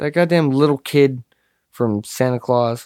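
A man's dark, mellow voice, with ordinary pitch variation, comes through in a dry, close sound with no echo and a very clean recording with a silent background. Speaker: podcast co-host. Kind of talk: casual banter, profane comedy chat. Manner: joking, sarcastic, profane.

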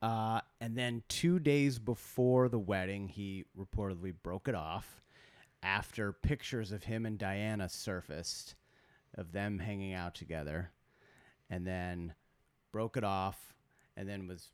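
A man's normal speaking voice, fairly low in pitch with ordinary variation, at a fairly slow pace, in a very clean recording with a silent background. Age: 40s. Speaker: podcast co-host. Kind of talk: casual chat.

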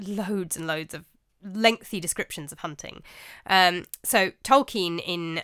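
In a very clean recording with a silent background, a woman with a fairly low pitch speaks in a bright, sharp tone with ordinary pitch variation. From England. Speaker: podcast host and narrator. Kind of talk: scripted narration of a medieval story.

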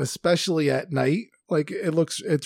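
At a fairly slow pace, a man with a fairly high pitch and ordinary pitch variation talks in an unremarkable speaking voice. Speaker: podcast host. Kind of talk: casual chat.

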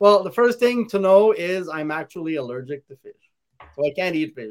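A man speaks at a moderate pace, high in pitch, with ordinary pitch variation.

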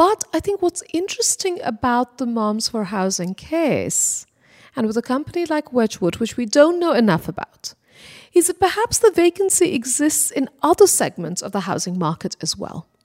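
A woman talks at a high pitch with very wide pitch swings and a moderate pace. The sound is dry and close, with no echo. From India, Kolkata. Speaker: professor. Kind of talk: interview.

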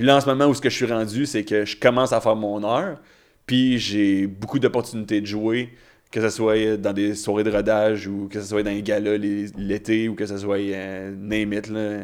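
The speaker is a man with an unremarkable speaking voice. He keeps a moderate pace and fairly even intonation. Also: fairly low pitch for a man. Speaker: stand-up comedian. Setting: studio.

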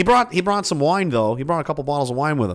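In a Nova Scotian accent, the speaker goes at a very fast pace with very wide pitch swings. The recording is very clean, with a silent background. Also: man. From Nova Scotia, Canada (Pictou). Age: 30s. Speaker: livestream podcast host. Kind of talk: casual livestream chat. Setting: home livestream in a basement. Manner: rambling, laughing often.

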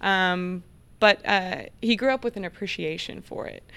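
Medium in pitch and with an American accent, a woman talks in an ordinary speaking voice with ordinary pitch variation. The recording is very clean, with a silent background. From Oklahoma. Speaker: ranch manager. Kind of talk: casual chat.

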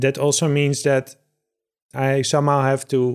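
A man talks at a medium pitch with a Dutch accent. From Netherlands. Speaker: podcast host. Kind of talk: interview.

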